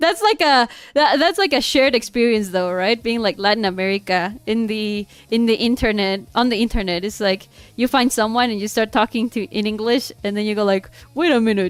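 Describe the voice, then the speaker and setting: Over music in the background, a woman with a Spanish accent talks at a fairly quick pace, her fairly high pitch showing ordinary variation. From Mexico. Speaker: VTuber streamer. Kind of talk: casual livestream chat while drawing. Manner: animated, code-switching between English and Spanish.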